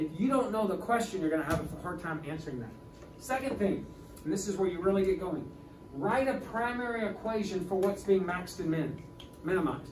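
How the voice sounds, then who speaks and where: A man's high voice at a fairly quick pace with lively intonation, amid audible room echo and noticeable background noise. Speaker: high school calculus teacher. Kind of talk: lecture. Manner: fast; halting.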